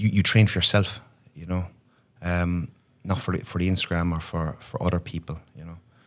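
A man speaks at a very deep, low pitch with fairly even intonation and a moderate pace. His loudness swings widely, he pauses long and often, and the recording is very clean with a silent background. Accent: Irish. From Ireland. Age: 30s. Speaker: online fitness coach, former banker. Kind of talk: casual interview chat.

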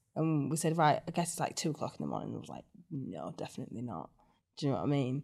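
Speaking at a very fast pace, a woman with a very deep, low pitch, a dark, mellow tone and vocal fry comes through on a very clean recording with a silent background. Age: 20s. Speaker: reality TV contestant. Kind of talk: casual interview.

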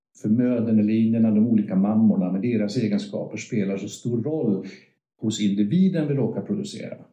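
Audible room echo surrounds a man who speaks fairly quickly at a fairly low pitch. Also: ordinary pitch variation. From northern Sweden, Örnsköldsvik. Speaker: veterinarian. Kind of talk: interview. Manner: halting.

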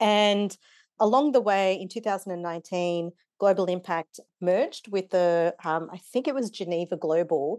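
In an Australian accent, a woman speaks at a medium pitch and a moderate pace with ordinary pitch variation. The sound is dry and close with no echo, and the background is quiet. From Kenya-born, raised in Wollongong, Australia. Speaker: non-profit board member and facilitator. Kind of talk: interview conversation.

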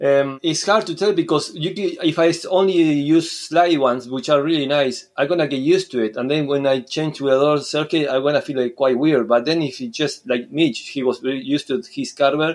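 Speaking in a Spanish accent, a man with a fairly high voice moves at a fairly quick pace with hardly any pauses and ordinary pitch variation. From Uruguay. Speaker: surf skate coach. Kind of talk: casual interview.

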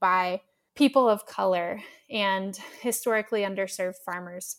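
In an unremarkable speaking voice, a woman at a medium pitch speaks at a moderate pace with fairly even intonation over a very clean recording with a silent background. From US Midwest, southern Missouri Ozarks. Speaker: agtech startup co-founder. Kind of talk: interview.

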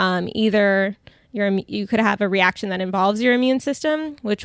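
On a very clean recording with a silent background, a woman in a plain, everyday voice speaks at a moderate pace in a medium pitch with ordinary pitch variation. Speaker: dietitian. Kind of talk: interview conversation. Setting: in person.

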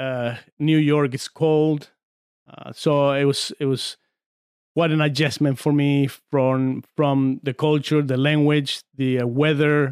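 A man with a Spanish accent speaks very slowly in a fairly high, monotone voice with flat intonation, recorded very cleanly with a silent background and a dry, close sound with no echo. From Argentina, San Juan. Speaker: former arm wrestler. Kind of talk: casual chat. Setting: studio.

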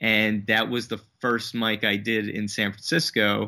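Here is a normal speaking voice. It has an American accent. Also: man. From New Jersey. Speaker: comedian and podcast host. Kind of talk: interview.

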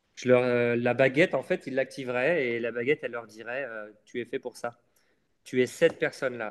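A man speaks fairly slowly at a medium pitch with fairly even intonation, in a plain, everyday voice. The sound is dry and close, with no echo. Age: 30s. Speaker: adventurer and travel writer. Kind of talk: interview.

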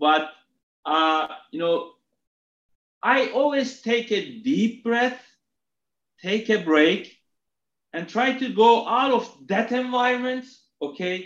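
The speech is very slow, with lively intonation, in a Turkish accent. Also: man. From Turkey (Istanbul). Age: 40s. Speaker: retail executive. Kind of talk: interview. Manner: hesitant, repeats words.

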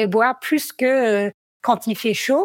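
Spoken very slowly in an American accent, the clip sounds dry and close with no echo. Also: woman, very clean recording, silent background. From United States. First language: English (speaking French). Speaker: trail runner, athlete. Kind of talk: podcast interview. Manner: hesitant, many fillers.

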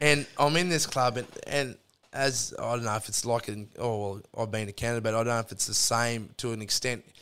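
The man speaks with a strong Australian accent at a medium pitch. His tone is bright and sharp. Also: ordinary pitch variation. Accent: broad Australian. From Australia, central Queensland. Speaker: electrician. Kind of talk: casual chat. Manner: animated storytelling.

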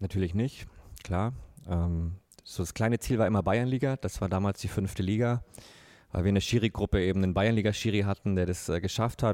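Very fast and fairly even in intonation, a man speaks with a fairly low pitch and a dark, mellow tone. The recording is very clean, with a silent background. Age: 30s. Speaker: football referee. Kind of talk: casual interview.

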